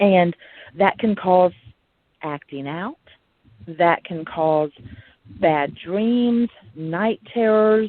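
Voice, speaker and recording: A woman speaks at a very slow pace with an Alabama accent, leaving long, frequent pauses. Her pitch is medium with ordinary pitch variation. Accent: Southern US (Alabama). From US South, Huntsville, Alabama. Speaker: podcast host. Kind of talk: casual monologue.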